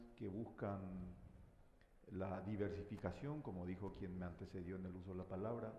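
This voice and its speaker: A man's fairly low voice carries fairly even intonation over audible room echo. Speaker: government minister. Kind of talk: panel discussion. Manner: hesitant, many fillers.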